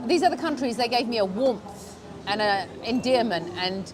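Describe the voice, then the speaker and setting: Through noticeable background noise and audible room echo, a woman with a London accent speaks at a fairly high pitch with lively intonation. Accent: British English, London. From England, UK (British Pakistani). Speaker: vlogger. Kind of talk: casual vlog. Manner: animated; fast.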